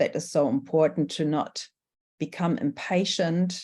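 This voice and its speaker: A woman's dark, mellow voice with a German accent at a fairly slow pace. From Germany. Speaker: workshop facilitator. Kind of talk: workshop presentation. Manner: hesitant, many fillers.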